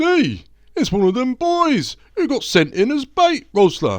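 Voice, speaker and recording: Using a put-on character voice, a man talks at a fairly slow pace with an extremely high pitch. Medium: read story. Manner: gruff, blunt.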